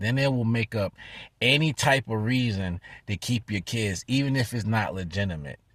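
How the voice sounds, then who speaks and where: A man speaks in a somewhat breathy, fairly low voice, the sound dry and close with no echo. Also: very clean recording, silent background. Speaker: vlogger. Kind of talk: vlog update. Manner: fast.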